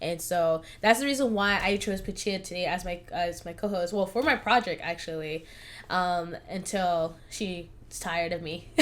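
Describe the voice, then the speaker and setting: A woman with an American accent has a plain, everyday voice at a medium pitch. She talks at a moderate pace with ordinary pitch variation, on a very clean recording with a silent background. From California. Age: 20s. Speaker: podcast host. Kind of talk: casual chat. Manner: casual, filler-heavy.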